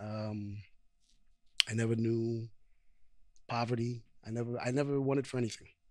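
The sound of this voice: A man speaks at a fairly slow pace, with a medium pitch and fairly even intonation. His tone is slightly mellow.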